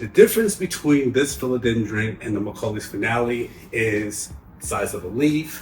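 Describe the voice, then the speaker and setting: A man talks in a New York accent at a moderate pace. His pitch is medium. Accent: heavy New York. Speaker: plant care youtuber. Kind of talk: tutorial. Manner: casual, conversational.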